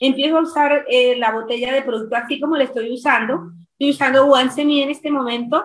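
Over light background noise, a woman with a Colombian accent talks at a very fast pace in a high pitch with fairly even intonation. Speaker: teacher and distributor; teacher. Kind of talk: testimony. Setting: video call. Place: home room. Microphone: video call.

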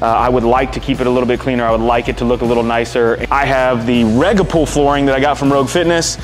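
Faint music plays behind a man talking at a fairly quick pace. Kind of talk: casual vlog chat. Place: garage. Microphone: lapel.

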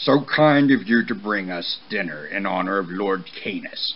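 Over clear background noise, a man growls in a put-on character voice at a fairly low pitch and a moderate pace. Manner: menacing.

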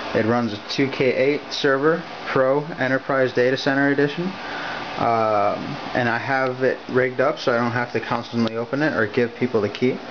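A man talks at a moderate pace with fairly even intonation and very even loudness. Noticeable background noise runs underneath. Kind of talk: show-and-tell tour. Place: home room. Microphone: phone near.

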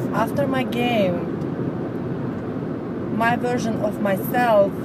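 A woman at a very slow pace, a dry sound with no echo, and loud background noise. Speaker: vlogger. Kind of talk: casual vlog chat. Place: car. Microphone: phone near.

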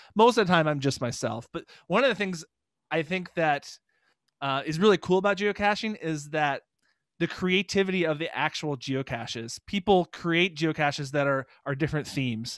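A man's fairly high voice with an American accent, lively intonation and a moderate pace, dry with no echo over a quiet background. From Minnesota. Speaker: geocaching vlogger. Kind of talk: interview. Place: home room. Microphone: studio mic.

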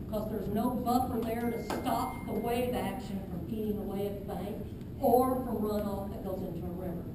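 Audible room echo and noticeable background noise around a woman's moderately paced speech. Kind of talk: public meeting Q&A answer. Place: hall. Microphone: camera far.

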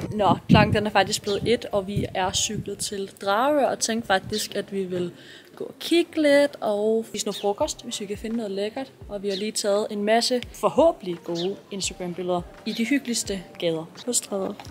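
Over light background noise, a woman speaks at a moderate pace with ordinary pitch variation. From Denmark. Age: 20s. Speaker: vlogger. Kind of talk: casual vlog talk.

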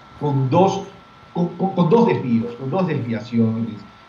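With audible room echo and light background noise, a man speaks at a moderate pace with ordinary pitch variation. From Ecuador, Guayaquil. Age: 60s. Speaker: presidential pre-candidate and former journalist. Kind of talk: political interview. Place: office. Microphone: webcam.

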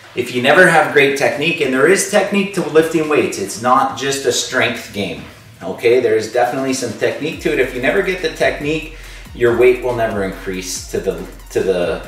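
At a fairly quick pace, a man talks amid audible room echo, with faint music behind him. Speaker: school fitness teacher. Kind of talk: workout instruction with advice. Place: home room. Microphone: camera far.

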